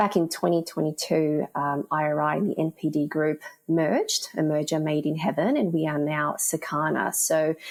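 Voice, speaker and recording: A woman speaks with a very deep, low pitch and fairly even intonation. Her loudness stays very even, with hardly any pauses. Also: moderate pace. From Australia. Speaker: retail analytics executive. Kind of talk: interview.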